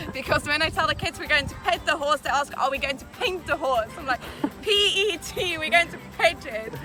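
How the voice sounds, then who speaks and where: A woman with a South African accent speaks in a high pitch with lively intonation. Her pace is moderate, and music plays in the background. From South Africa (Mpumalanga). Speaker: summer camp counselor. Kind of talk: interview.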